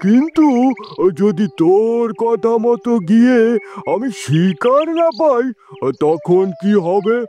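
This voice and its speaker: In a cartoonish character voice pitched high, a man speaks very slowly as faint music plays in the background. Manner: commanding.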